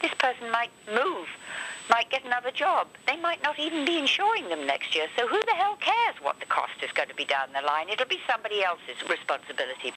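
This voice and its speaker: A high-pitched woman talks fairly quickly, her pitch swinging very widely, with noticeable noise behind her. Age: 70s. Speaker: amputee advocacy organization president. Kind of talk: interview answer. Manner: passionate.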